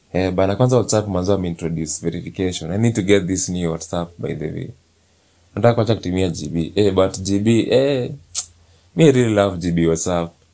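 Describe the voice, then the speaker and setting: A man speaks at a moderate pace with a very deep, low pitch. His tone is dark and mellow, with ordinary pitch variation. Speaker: podcast host. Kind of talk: casual monologue. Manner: animated.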